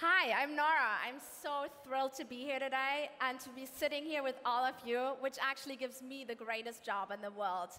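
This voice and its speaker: Speaking in a raised, projected voice, a woman with a bright, sharp tone and high pitch keeps a moderate pace with ordinary pitch variation and hardly any pauses. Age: young. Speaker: panel moderator. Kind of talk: panel discussion. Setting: stage with audience. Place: stage. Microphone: headset.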